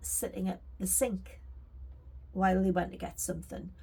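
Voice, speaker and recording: A woman speaks with a Geordie accent. Her pace is fairly slow. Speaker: crafting vlogger and storyteller. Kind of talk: casual storytelling monologue. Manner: chatty, with fillers.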